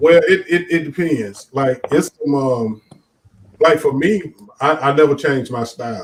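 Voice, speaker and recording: A man's voice with ordinary pitch variation. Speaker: stand-up comedian. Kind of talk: casual interview chat. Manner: halting with frequent repetitions.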